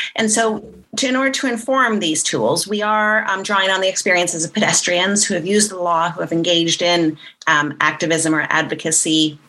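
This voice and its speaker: Her voice is an unremarkable speaking voice, fairly low in pitch for a woman, with lively intonation. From Canada. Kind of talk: interview.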